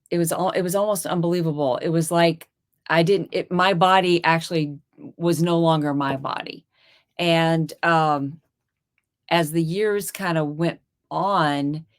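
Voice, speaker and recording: This woman has an ordinary speaking voice with a fairly low pitch. Her intonation is fairly even. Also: fairly slow pace. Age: 50s. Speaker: dentist and carnivore diet youtuber. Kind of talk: interview testimony.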